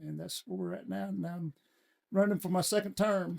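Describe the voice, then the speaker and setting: Fairly quick speech from a man with a Southern US accent. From US South, Alabama (Sand Mountain). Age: 60s. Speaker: city council candidate, retired state trooper. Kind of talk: casual chat.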